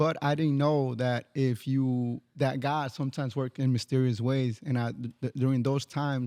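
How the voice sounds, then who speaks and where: In a dry, close sound with no echo, a man with a dark, mellow tone talks in a monotone, flat intonation with hardly any pauses. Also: medium pitch for a man, moderate pace. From Miami, raised there from age five, born in Mexico. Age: 30s. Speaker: barber. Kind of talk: casual podcast interview, personal story.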